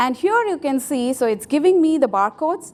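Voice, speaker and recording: With a Tamil accent, a woman speaks at a moderate pace and with lively intonation. Noticeable background noise is present. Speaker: software developer, conference speaker. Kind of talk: conference tech talk with live demo. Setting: stage with audience.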